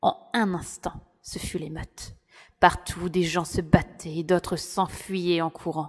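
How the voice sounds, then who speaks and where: A woman speaks very slowly at a fairly low pitch, her intonation monotone and flat. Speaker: audiobook narrator. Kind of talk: dramatic audiobook narration, first-person storytelling.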